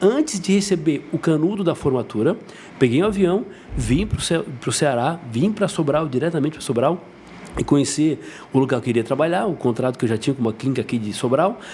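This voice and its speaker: At a fairly quick pace, the speaker uses lively intonation. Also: man, fairly high pitch for a man. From southern Brazil, Santa Catarina (Jaguaruna, south coast). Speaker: dentist. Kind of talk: podcast interview.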